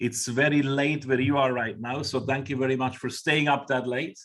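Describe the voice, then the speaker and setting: In a Swiss accent, a man speaks at a fairly high pitch. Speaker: webinar host. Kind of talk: webinar moderation.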